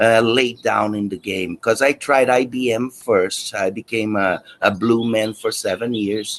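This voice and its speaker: Speaking at a fairly slow pace with hardly any pauses, a man with a slight Brazilian accent uses a medium pitch. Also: fairly even intonation. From Brazil, Rio de Janeiro. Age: 50s. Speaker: guitar teacher. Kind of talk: interview.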